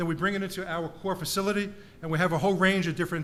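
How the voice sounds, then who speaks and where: The speaker talks with a New York accent. Audible room echo is present. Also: man. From US, New York (Bronx). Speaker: professor. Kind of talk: conference talk. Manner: fast.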